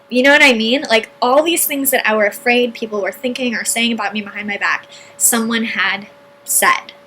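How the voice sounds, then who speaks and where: Noticeable background noise is heard throughout. The voice keeps a moderate pace and ordinary pitch variation. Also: woman, fairly high pitch for a woman. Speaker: entrepreneur and online marketing video host. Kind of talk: personal story monologue.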